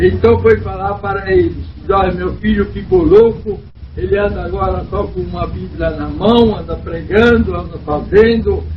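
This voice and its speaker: Speech comes at a fairly slow pace. Audible room echo and noticeable background noise are present. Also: man. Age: 70s. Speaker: church elder. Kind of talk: testimony.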